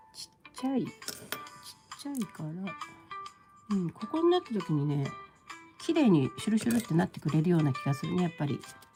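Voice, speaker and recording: A woman with a fairly low pitch talks very fast, her pitch swinging very widely. She leaves long, frequent pauses while music plays in the background. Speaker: paper quilling crafter. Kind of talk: casual live-stream craft demonstration.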